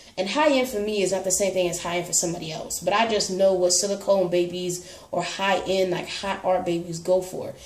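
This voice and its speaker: Amid noticeable background noise and audible room echo, a woman speaks at a medium pitch. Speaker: reborn doll collector vlogger. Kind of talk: casual chat. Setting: home. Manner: fast.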